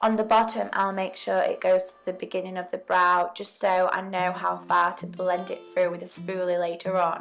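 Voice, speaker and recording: A woman keeps a moderate pace while music plays behind her. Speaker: beauty vlogger. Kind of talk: makeup tutorial talk to camera. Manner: casual, chatty.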